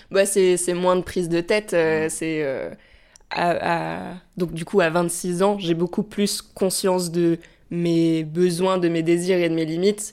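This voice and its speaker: Fairly low-pitched female speech in a monotone, flat intonation at a very slow pace, on a very clean recording with a silent background. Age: 20s. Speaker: theatre writer. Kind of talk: casual chat. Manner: halting.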